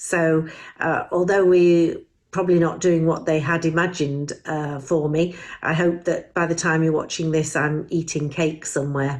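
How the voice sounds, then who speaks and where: A woman with a fairly low pitch and monotone, flat intonation. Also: moderate pace. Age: 60s. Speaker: charity volunteer, vice chair. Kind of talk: recorded video message.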